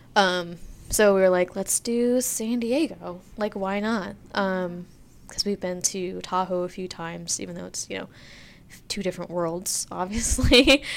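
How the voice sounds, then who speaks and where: Using an ordinary speaking voice, a woman with an American accent talks fairly slowly, with ordinary pitch variation and big swings in loudness. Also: medium pitch for a woman. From Pennsylvania, US. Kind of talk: casual chat. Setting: recording on location in a studio suite with street noise.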